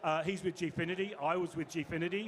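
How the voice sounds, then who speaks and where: A man with a slight Australian accent, high pitch and fairly even intonation. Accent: slightly Australian. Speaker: panel moderator, games industry executive. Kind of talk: panel introduction. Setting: stage with audience. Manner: fast.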